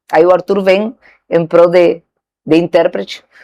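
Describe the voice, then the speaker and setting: A woman with a Spanish accent. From Argentina. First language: Spanish (speaking Portuguese). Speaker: saleswoman. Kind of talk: interview.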